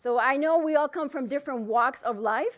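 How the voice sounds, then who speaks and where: A woman speaks loudly at a high pitch with a Spanish accent. Her pace is moderate over a quiet background. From Dominican Republic. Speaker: financial planner. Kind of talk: keynote talk. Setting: stage with audience. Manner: loud, projecting.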